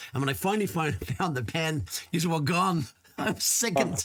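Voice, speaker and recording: Over noticeable background noise, a man talks with very wide pitch swings. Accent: Dublin. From Ireland, Dublin (Crumlin). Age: 50s. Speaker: podcast host. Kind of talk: interview.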